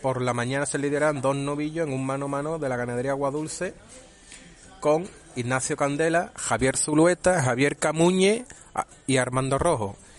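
Music plays in the background as a man speaks. He keeps a moderate pace with ordinary pitch variation. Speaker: bullfighting radio commentator. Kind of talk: radio news reading. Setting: radio studio.

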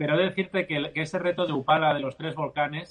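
A man with a plain, everyday voice, fairly high pitch and fairly even intonation. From Spain (Barcelona, Catalonia), Andalusian parents. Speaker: endurance athlete and charity fundraiser. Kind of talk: interview.

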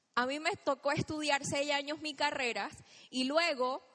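High-pitched and animated, a woman speaks in a bright, sharp tone. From Chiriquí, Panama. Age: 30s. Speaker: motivational speaker at network marketing event. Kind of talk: motivational stage talk. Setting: stage with audience.

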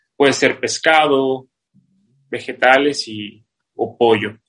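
This man's voice sits at a fairly high pitch. His pitch variation is ordinary. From Mexico City, raised in Playa del Carmen from 14. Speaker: CrossFit athlete. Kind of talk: casual interview.

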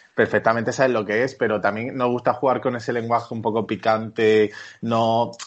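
This man speaks at a medium pitch and a fairly quick pace. His intonation stays monotone and flat. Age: 30s. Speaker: architect, studio co-founder. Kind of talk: interview.

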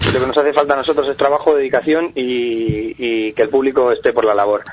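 A man talks with his voice pitched fairly high and ordinary pitch movement. Background noise is clearly heard. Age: 40s. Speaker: comedian. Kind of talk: interview.

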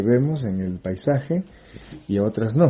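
Somewhat breathy and at a medium pitch, a man speaks at a very slow pace. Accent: French. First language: French (speaking Spanish). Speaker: geographer. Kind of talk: explanatory interview for children.

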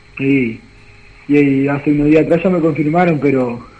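The speech has fairly even intonation and a moderate pace, with noticeable background noise. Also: man. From Uruguay, Pirarajá (Lavalleja). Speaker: footballer. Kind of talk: phone interview.

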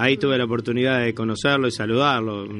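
Over music in the background, a man speaks at medium pitch with monotone, flat intonation. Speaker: radio host. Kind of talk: casual chat.

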